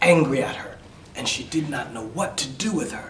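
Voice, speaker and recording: A man's fairly high-pitched voice with ordinary pitch variation over noticeable background noise. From New York City. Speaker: EFL instructor. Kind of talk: read-aloud fairy tale for English learners. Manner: slow, simple.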